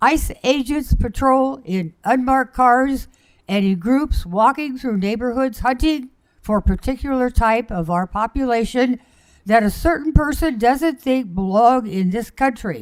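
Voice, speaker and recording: Speaking at a fairly slow pace with a high pitch and ordinary pitch variation, a woman with an American accent is heard on a very clean recording against a silent background. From Oregon. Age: 80s+. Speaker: public commenter. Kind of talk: public comment at council meeting.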